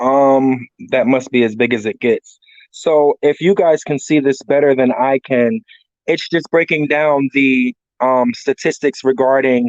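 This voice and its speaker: He has a plain, everyday voice, pitched at a medium level for a man, moving at a fairly slow pace with very even loudness and ordinary pitch variation. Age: 40s. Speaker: drug addiction counselor, workshop panelist. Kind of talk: workshop presentation. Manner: casual, conversational.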